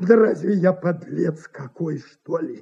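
A put-on character voice comes slowly, with a dark, mellow tone and a husky, rough edge. Vocal fry runs under its lively intonation.

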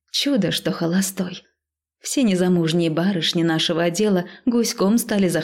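The text is read aloud in a natural voice with ordinary pitch variation. Nothing much sounds in the background.

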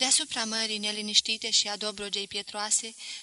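Someone reads aloud here. The delivery is natural.

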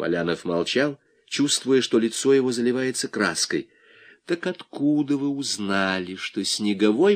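Text is read aloud in a natural voice.

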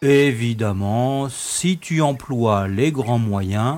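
The voice is a natural reading voice. Its pitch variation is ordinary.

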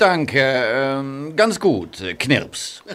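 A put-on character voice from a man, medium in pitch and fairly bright, with big pitch swings and a very slow pace

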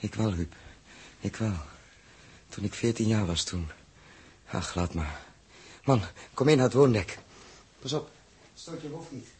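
A man puts on a character voice that is husky with a rough edge and fairly low in pitch, using lively intonation at a fairly slow pace with long, frequent pauses. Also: slightly mellow tone.

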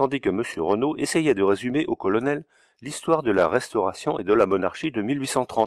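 Lively rises and falls mark the speech. The voice is an unforced reading voice.

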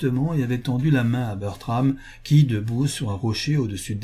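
The text is read aloud in a natural voice, its pitch varying in an ordinary way.

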